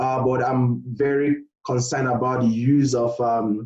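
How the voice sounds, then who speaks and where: A man's voice of medium pitch has a dark, mellow tone, a somewhat breathy quality and fairly even intonation. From Nigeria. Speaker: postgraduate researcher. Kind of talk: interview. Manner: hesitant, many fillers.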